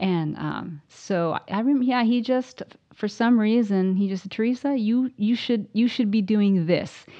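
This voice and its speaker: A woman talks in a fairly high voice, an ordinary speaking voice. She goes at a fairly slow pace with hardly any pauses. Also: ordinary pitch variation. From Southern Oregon, US. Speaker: percussionist and music professor. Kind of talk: casual interview chat. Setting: at her home.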